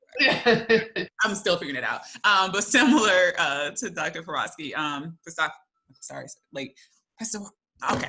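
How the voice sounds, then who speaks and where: A woman speaks with a Southern US accent at a medium pitch, her pitch swinging very widely. Her loudness shifts in big swings, broken by long, frequent pauses. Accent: Southern drawl. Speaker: graduate school administrator. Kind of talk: panel discussion.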